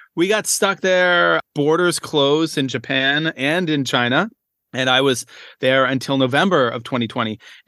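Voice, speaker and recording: Speaking at a moderate pace in a Maritime Canadian accent, a man uses a fairly high voice with lively intonation. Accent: Canadian (Maritimes). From Canada, rural Nova Scotia. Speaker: primary school teacher. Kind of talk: interview. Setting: video call.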